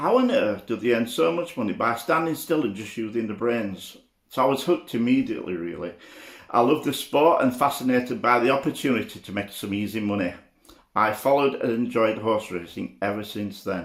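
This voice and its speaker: The speech moves at a fairly quick pace. Its intonation is lively. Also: man, medium pitch for a man. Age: 60s. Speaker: betting expert. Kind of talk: personal storytelling monologue. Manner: reading from notes, hesitant.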